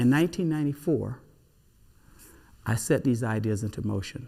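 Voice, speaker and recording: A man with an American accent, medium pitch, a dark, mellow tone and a moderate pace. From Southern United States. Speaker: jazz musician. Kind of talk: program introduction.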